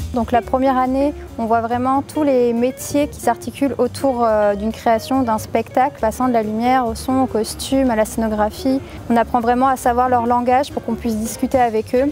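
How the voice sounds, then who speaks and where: Against noticeable background noise, a woman with a high pitch speaks at a moderate pace in monotone, flat intonation. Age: 20s. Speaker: drama school student in technical direction. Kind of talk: interview testimony.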